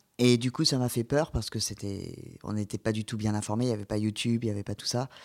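A man talks in a plain, everyday voice, fairly low and fairly even in intonation. The recording is very clean, with a silent background. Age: 30s. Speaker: patient sharing surgery experience. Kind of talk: testimony.

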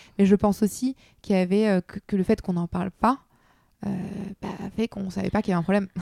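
A woman with a medium pitch and a dark, mellow tone talks very fast, her intonation fairly even. Long, frequent pauses break up her speech, and the sound is dry and close with no echo. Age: 30s. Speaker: entrepreneur. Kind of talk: interview. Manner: halting.

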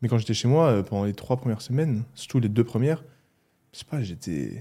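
On a very clean recording with a silent background, a man with a slight Alsatian accent speaks at a medium pitch in a dark, mellow tone. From Alsace, France (Mulhouse). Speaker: athlete, physiotherapist and YouTuber. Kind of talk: casual chat.

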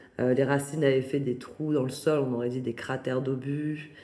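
Audible room echo surrounds a woman with a very deep, low pitch and a dark, mellow tone. She speaks at a fairly slow pace with fairly even intonation. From France, Paris region. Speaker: artist and foundation founder. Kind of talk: interview. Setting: at her new home.

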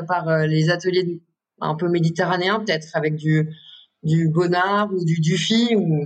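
Her fairly low voice held at a very even loudness, a woman talks at a very slow pace with fairly even intonation. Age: 30s. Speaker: contemporary artist. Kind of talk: interview.

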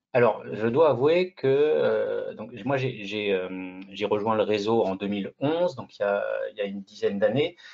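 This man's voice has a medium pitch. He talks at a fairly slow pace. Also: lively intonation. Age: 40s. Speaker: real estate agent. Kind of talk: interview. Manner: halting, with many repetitions.

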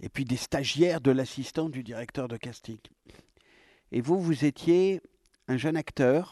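A man with a dark, mellow, fairly high voice speaks at a fairly slow pace with long, frequent pauses and big swings in loudness, recorded with a dry, close sound and no echo. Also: ordinary pitch variation. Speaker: theatre director and former actor. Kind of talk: interview.

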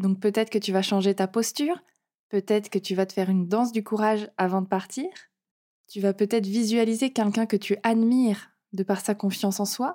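In a very clean recording with a silent background, a woman talks at a moderate pace with a medium pitch, a dark, mellow tone and fairly even intonation. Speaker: confidence and self-esteem coach, podcast host. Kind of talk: solo podcast monologue, coaching advice.

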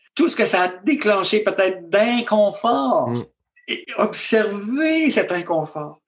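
In a Quebec accent, a man with a high voice speaks very slowly. His pitch swings very widely. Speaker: physician and author. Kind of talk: interview conversation.

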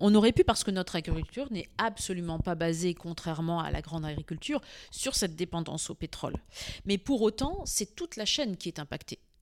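The delivery is animated and fairly quick, with lively intonation. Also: woman, medium pitch for a woman. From northern France (Arras). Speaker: farmer. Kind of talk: interview. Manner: animated, with frequent repetitions.

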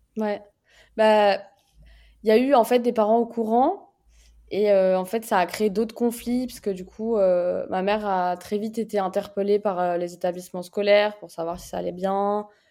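On a very clean recording with a silent background, a woman at medium pitch speaks in a dark, mellow tone at a moderate pace, her intonation fairly even and her loudness swinging widely. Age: 20s. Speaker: podcast guest sharing her life story. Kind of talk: personal testimony.

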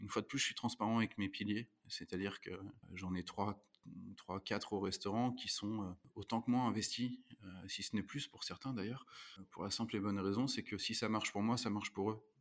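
Using a plain, everyday voice, a man speaks at a moderate pace with a fairly low pitch and fairly even intonation. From France, Normandy (Rouen). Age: 30s. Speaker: restaurant manager. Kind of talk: interview.

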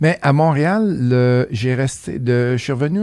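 In a Beauce Quebec accent, this voice moves at a very slow pace with lively intonation and a dark, mellow tone. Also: man. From Quebec, Beauce (Saint-Prosper). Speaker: real estate investor and educator. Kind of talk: casual interview chat.

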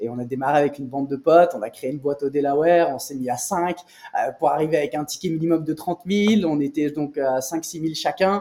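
A man with a plain, everyday voice and a fairly high pitch talks at a fairly quick pace with ordinary pitch variation. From France, Nice. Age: 30s. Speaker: private equity investor. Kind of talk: interview. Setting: office.

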